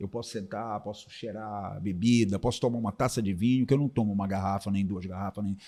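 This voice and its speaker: A man speaks at a fairly quick pace in a fairly low pitch with a dark, mellow tone. The recording is very clean, with a silent background. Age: 60s. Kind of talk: testimony.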